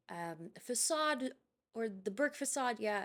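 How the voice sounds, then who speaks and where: Mumbling at a very slow pace, a woman speaks with lively intonation. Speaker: gaming youtuber. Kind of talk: voiceover commentary. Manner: halting, self-described stutter and mumble; hesitant.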